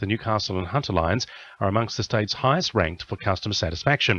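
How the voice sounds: A man talks at a fast pace with lively intonation and a fairly bright tone.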